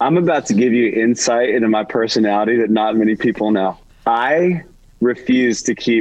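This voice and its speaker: A man with a plain, everyday voice speaks at a moderate pace and medium pitch, with ordinary pitch variation and very even loudness. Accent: American. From US South, Georgia (suburban Atlanta). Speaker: worship singer-songwriter. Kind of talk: casual chat. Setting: in a car.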